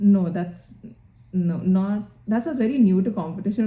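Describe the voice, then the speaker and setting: This voice has a dark, mellow tone and sounds somewhat breathy, with an Indian accent. Its intonation stays fairly even. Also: woman. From Singapore, then India (Bangalore). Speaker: doctor, residency applicant. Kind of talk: interview. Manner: hesitant, many fillers.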